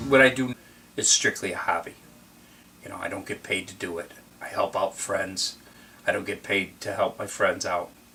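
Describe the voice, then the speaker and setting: A man talks at a moderate pace, leaving long, frequent pauses. His loudness swings widely, and noticeable background noise can be heard. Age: 50s. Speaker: auto mechanic and car hobbyist. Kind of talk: documentary interview. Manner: casual, hesitant with fillers.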